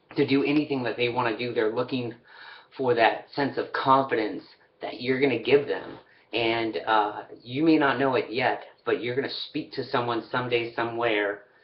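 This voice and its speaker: With fairly even intonation, a man talks at a moderate pace in a medium pitch. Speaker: motivational vlogger. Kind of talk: motivational talk. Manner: halting, many fillers.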